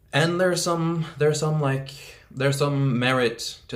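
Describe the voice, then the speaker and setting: This man speaks with a non-native accent. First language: not English. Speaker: self-development YouTuber. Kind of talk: casual vlog monologue. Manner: casual with many fillers.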